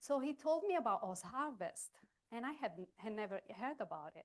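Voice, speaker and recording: Her intonation lively, a woman speaks with a non-native accent. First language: not English. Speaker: chef. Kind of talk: cooking demonstration. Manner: halting.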